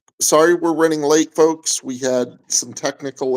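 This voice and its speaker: The sound is dry and close with no echo as a man speaks at a moderate pace. He talks in an American accent with fairly even intonation. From US, Oklahoma. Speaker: vlogger, co-host of couple channel. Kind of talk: casual livestream chat. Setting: livestream.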